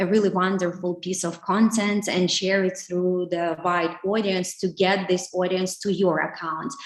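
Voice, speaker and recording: Her pitch is medium, and her pace is fairly slow. The woman speaks with a Ukrainian accent. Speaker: digital marketing specialist. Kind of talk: webinar talk. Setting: online webinar. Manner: halting, many fillers.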